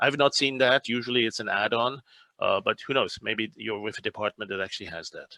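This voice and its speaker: The voice has a bright, sharp tone and fairly even intonation, captured in a dry, close sound with no echo. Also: man. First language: French. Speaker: speech translation expert. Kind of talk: webinar Q&A.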